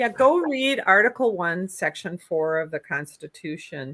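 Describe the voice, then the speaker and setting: The speaker has a strong Minnesota accent and very wide pitch swings at a moderate pace. The sound is dry and close with no echo. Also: woman. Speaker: political candidate. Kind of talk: interview.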